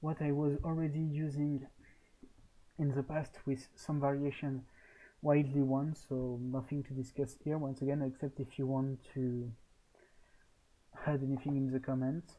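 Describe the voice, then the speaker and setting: Fairly high-pitched, a man speaks in a dark, mellow tone with flat, monotone intonation. He keeps a moderate pace with long, frequent pauses. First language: French. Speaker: gaming tournament organizer. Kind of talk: solo video commentary on poll results. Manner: hesitant, frequent fillers.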